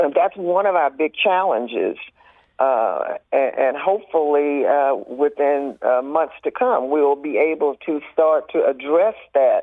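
A woman speaks with a Southern US accent at a very deep, low pitch and a fairly slow pace. Her pitch varies in an ordinary way while her loudness stays very even. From US South, rural Mississippi. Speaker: arts nonprofit board president. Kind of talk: radio interview. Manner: halting, many fillers.

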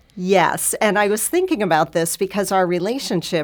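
A woman with an American accent, an unremarkable speaking voice, fairly low pitch, and lively intonation. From US (New York and California). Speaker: volunteer mentor. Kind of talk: radio interview.

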